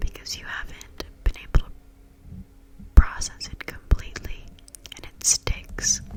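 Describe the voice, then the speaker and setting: At a fairly slow pace, a woman whispers while noticeable background noise carries on. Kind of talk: personal growth talk with affirmations, casual talk to camera. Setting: outdoors noise in background, neighbors' children and music. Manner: soft-spoken, ASMR-style, reflective.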